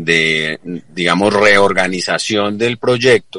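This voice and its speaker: Over noticeable background noise, the speech moves at a very slow pace with fairly even intonation. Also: man. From Colombia, Risaralda (La Celia). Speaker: business association executive. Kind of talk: radio interview. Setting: remote call into radio studio. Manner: halting, repetitive fillers.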